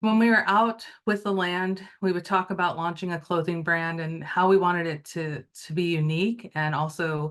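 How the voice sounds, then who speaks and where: Someone with an American accent talks in a normal speaking voice with fairly even intonation. The background is quiet. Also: woman, fairly low pitch for a woman, moderate pace. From US Pacific Northwest, Wenatchee Valley. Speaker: entrepreneur. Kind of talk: lecture. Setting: video call.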